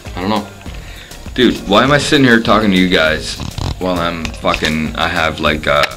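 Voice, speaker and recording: This man has a very deep, low voice and talks at a moderate pace. Clear music plays in the background. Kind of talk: casual vlog chat.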